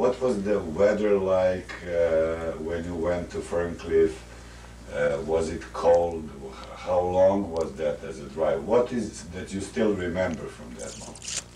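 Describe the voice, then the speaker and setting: With a non-native accent, a man speaks very slowly at a very deep, low pitch with ordinary pitch variation and big swings in loudness. Audible room echo and noticeable background noise surround him. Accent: foreign. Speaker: interviewer. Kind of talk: interview. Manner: halting.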